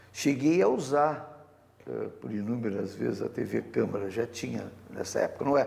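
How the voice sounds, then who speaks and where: A man's medium-pitched voice, dark and mellow, with vocal fry, ordinary pitch variation and a fairly slow pace. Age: 60s. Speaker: author and former city councillor. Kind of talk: TV interview. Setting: TV studio. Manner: hesitant, many fillers.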